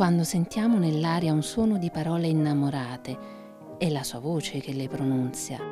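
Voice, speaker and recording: Music plays in the background as a woman with a very deep, low pitch talks at a moderate pace with ordinary pitch variation. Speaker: narrator. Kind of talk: literary legend reading.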